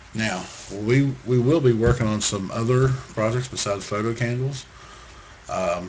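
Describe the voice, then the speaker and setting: A man's voice at medium pitch, moderate pace and ordinary pitch variation, with noticeable background noise. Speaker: crafts tutorial maker. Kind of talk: tutorial.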